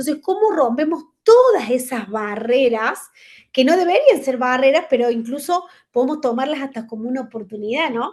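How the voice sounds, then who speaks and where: A high-pitched woman with lively intonation. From Argentina. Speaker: conference speaker, management consultant. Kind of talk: virtual lecture. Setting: video call. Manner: fast.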